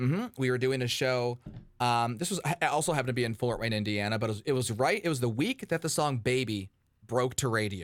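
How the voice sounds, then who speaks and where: Speaking at a very fast pace, a man with a medium pitch keeps very even loudness while using an animated tone and lively intonation. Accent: American. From Michigan, Detroit suburbs. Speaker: radio host. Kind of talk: casual chat. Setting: video call.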